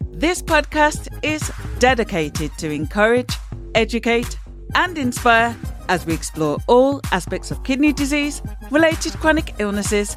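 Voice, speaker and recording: A woman speaking at a moderate pace over background music. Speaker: podcast host, kidney patient advocate. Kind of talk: podcast interview questions.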